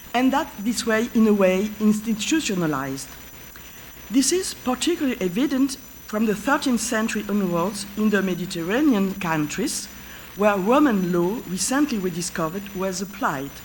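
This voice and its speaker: Lively intonation marks this voice with a French accent, at a moderate pace. Background noise is noticeable, and room echo is audible. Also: woman, medium pitch for a woman. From France. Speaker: professor of history of medicine. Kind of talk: lecture. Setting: conference stage with audience. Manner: halting.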